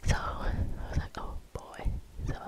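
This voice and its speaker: A woman whispers in a calm tone. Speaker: ASMR creator. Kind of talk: ASMR whisper ramble. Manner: whispered; soft-spoken, calm. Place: home room. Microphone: studio mic.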